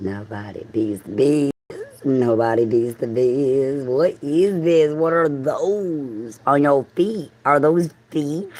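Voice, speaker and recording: A woman in a Southern US accent, very deep and low in pitch, with lively intonation and a very slow pace. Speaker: livestreamer. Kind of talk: casual livestream monologue.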